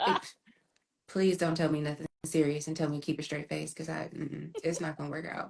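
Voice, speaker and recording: A woman's very deep, low voice, monotone and flat, at a fairly quick pace. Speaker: podcast co-host. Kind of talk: casual chat. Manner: loud.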